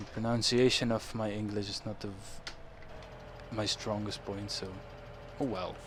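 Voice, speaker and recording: A man's fairly low voice with a strong Dutch accent, flat monotone intonation, a moderate pace, long and frequent pauses, and audible room echo. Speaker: gaming YouTuber. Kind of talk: let's play commentary. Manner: casual, halting with self-corrections.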